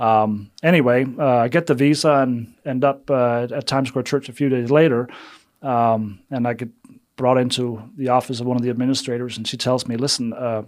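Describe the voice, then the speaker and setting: A man's fairly quick, fairly evenly intoned speech at medium pitch with a Danish accent, on a very clean recording with a silent background. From Denmark. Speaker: missions development director. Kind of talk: interview.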